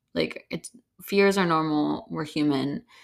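A woman is speaking. The recording is very clean, with a silent background. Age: 20s. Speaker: podcast host. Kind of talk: casual solo monologue. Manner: casual, frequent fillers and laughter.

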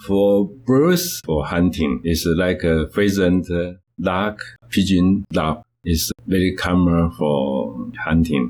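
With a Taiwanese accent, a man speaks at a very slow pace in a very deep, low pitch, his loudness very even and his pitch variation ordinary. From Taiwan, Kaohsiung. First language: Mandarin or Taiwanese. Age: 70s. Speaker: conservation society founder. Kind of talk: interview. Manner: halting.

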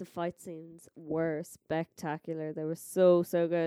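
The woman speaks with an Irish accent. Her tone is dark and mellow, at a fairly low pitch. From Ireland. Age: 20s. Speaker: podcast host's girlfriend. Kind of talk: casual chat.

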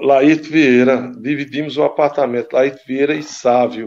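A normal speaking voice, delivered at a fairly slow pace with fairly even intonation. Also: man. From Brazil, Caruaru, Pernambuco. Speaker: former amateur footballer. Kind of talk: casual interview.

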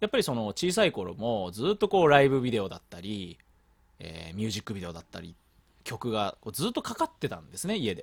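A man talks very fast, his pitch swinging very widely and his loudness shifting greatly. The sound is dry and close, with no echo. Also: medium pitch for a man. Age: 20s. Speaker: podcast host. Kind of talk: casual chat.

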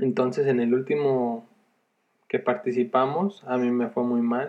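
At a fairly slow pace, a man speaks in a medium pitch. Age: 20s. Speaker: first-time podcaster, entrepreneur. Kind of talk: casual monologue. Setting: sister's bedroom. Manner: hesitant, repeats words. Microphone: headset mic on sister's computer, poor sound.

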